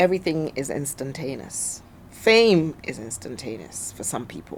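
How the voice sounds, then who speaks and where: At a moderate pace, a woman with a very deep, low pitch speaks in an animated tone, her pitch swinging very widely. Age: 60s. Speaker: businesswoman. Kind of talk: interview.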